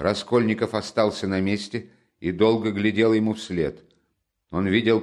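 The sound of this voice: An unforced reading voice with fairly even intonation is heard over a quiet background.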